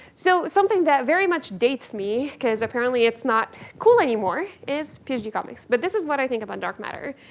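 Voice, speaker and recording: Speaking very fast, a woman uses a high voice with very wide pitch swings. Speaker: physics professor. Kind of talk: lecture.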